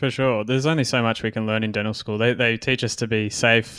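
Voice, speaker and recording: The recording is very clean, with a silent background, and a man speaks at a fairly quick pace in an unremarkable speaking voice. His pitch is medium and his intonation fairly even. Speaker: podcast host and dentist. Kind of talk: interview, casual chat.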